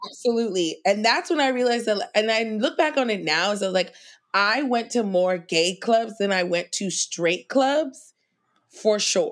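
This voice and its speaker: An American-accented woman with an unremarkable speaking voice, fairly high in pitch, her intonation lively and her pace moderate, over a quiet background. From New York City, Queens. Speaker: comedian. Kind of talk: casual chat.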